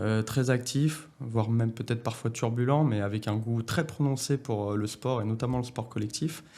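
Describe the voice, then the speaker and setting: The voice has a dark, mellow tone and is somewhat breathy. Its pace is moderate. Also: man. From France, Lyon area (Bron). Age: 30s. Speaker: company director. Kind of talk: interview. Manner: hesitant, many filler sounds.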